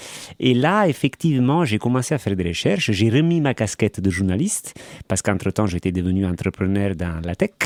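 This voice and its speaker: A man with an Italian accent, very wide pitch swings and a fairly quick pace. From Italy, Naples. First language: Italian (speaking French). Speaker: baker and former journalist. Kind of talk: interview. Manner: hesitant, many fillers.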